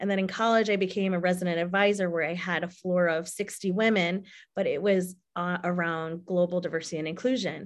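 A woman with an American accent and a plain, everyday voice talks at a fairly quick pace with hardly any pauses, medium pitch and fairly even intonation against a quiet background. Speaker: diversity advocate. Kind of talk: casual chat. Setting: video call.

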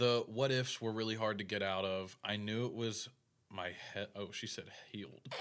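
A man with a fairly low pitch and a plain, everyday voice speaks at a moderate pace, his intonation fairly even. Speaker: podcast host. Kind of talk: casual chat.

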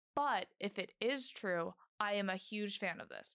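A woman with a normal speaking voice and medium pitch talks in an American accent with ordinary pitch variation. The recording is very clean, with a silent background and a dry, close sound with no echo. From Orlando, Florida. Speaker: student podcast co-host. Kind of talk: casual chat.

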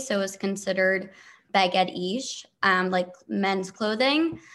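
A normal speaking voice with an American accent and ordinary pitch variation, on a very clean recording with a silent background. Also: woman. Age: 20s. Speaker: TikToker, reality show cast member. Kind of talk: interview.

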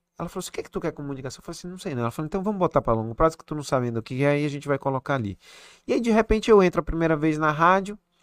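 At a very fast pace, a man with a fairly high pitch speaks with big swings in loudness over a quiet background. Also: lively intonation, dry, close sound with no echo. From Recife, northeast Brazil. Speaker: head and neck surgeon. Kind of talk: casual interview chat.

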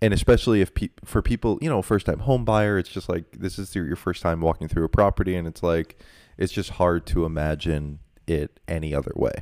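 A man's very deep, low voice at a fairly quick pace, with ordinary pitch variation and a dry, close sound with no echo. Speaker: podcast host; real estate agent. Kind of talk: casual chat.

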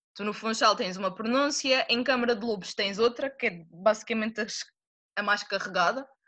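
Her pitch is fairly high, and it varies in an ordinary way. The woman keeps a moderate pace. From Madeira, Portugal. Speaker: student. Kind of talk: casual interview. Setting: video call.

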